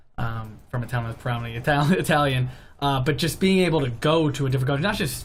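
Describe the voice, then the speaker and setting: Music plays in the background as a man with an American accent and a medium pitch speaks very fast, his voice carrying audible room echo. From East Haven, Connecticut. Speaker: teacher. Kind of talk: interview.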